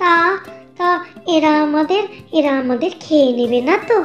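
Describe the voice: In a squeaky, cartoonish character voice, a woman talks at a moderate pace with clear music in the background.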